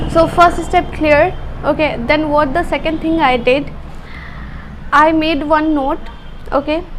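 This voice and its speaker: In an Indian accent, a woman speaks at a high pitch with a monotone, flat intonation and a fairly slow pace, leaving long, frequent pauses amid audible room echo and noticeable background noise. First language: Hindi. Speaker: language learning vlogger. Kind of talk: personal story vlog. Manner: halting.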